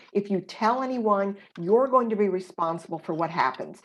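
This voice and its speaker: A woman's ordinary speaking voice at medium pitch, with lively intonation and a moderate pace. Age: 50s. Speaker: abuse survivor and author. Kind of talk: interview testimony.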